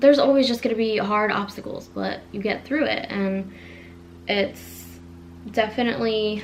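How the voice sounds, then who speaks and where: A woman with an American accent speaks with audible room echo and noticeable background noise. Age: 20s. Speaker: vlogger. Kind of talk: casual vlog monologue. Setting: home living room. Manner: fast.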